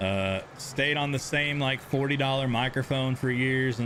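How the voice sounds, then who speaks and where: Talking at a moderate pace, a man speaks with a Texan accent. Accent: Texan accent, noticeable on stream. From Texas. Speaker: gaming live streamer. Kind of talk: live gameplay stream chat. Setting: home streaming setup with camera. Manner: casual, repetitive.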